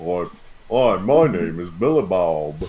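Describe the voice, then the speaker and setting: A man's put-on character voice, very deep and low, at a fairly slow pace. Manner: cheerful greeting.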